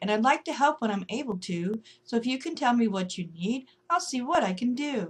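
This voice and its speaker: At a fairly quick pace, a woman uses a put-on character voice with a high pitch. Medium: read story.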